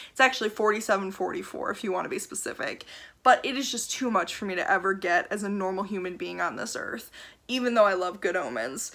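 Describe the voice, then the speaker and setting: Very fast and bright with a sharp tone, a woman at medium pitch uses vocal fry and ordinary pitch variation on a very clean recording with a silent background. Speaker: book vlogger. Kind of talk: casual chat.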